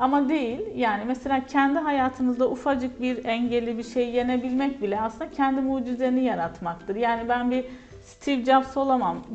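A woman's high-pitched voice at a moderate pace, with ordinary pitch variation and hardly any pauses, over noticeable background noise. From Turkey, Kahramanmaraş. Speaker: English lecturer. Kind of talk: interview.

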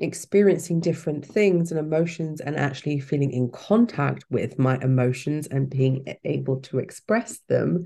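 Dark and mellow in tone, a woman speaks at a very deep, low pitch. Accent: British. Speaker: cancer survivor and life coach. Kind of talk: casual interview chat.

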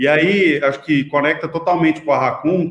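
Music plays behind a man speaking at a moderate pace. His intonation stays fairly even. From Brazil, Goiás (Itumbiara). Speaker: digital marketing agency founder. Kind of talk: interview.

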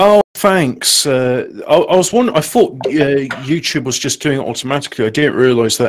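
A man with an ordinary speaking voice talks fairly quickly, his fairly high pitch carried by lively intonation. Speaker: co-host. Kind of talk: casual banter on a livestream. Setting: live stream.

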